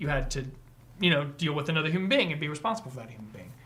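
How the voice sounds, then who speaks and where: A man's fairly high voice rises and falls with lively intonation amid audible room echo. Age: 40s. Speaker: podcast host. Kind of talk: casual chat. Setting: livestream.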